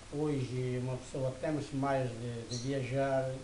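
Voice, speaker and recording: Over noticeable background noise and audible room echo, a man speaks at a very slow pace. His medium pitch stays in a monotone, flat intonation. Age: 70s. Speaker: elderly interviewee. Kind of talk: interview. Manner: hesitant.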